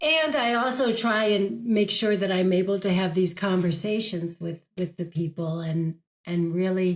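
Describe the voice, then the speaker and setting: A woman speaks in an American accent with lively intonation. Her voice is somewhat breathy. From United States. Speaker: actress and career coach. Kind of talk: podcast interview.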